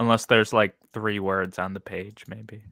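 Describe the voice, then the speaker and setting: A man's fairly low, bright, sharp voice at a moderate pace with fairly even intonation, in a very clean, dry, close recording with a silent background and no echo. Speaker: booktuber. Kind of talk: casual chat. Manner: halting.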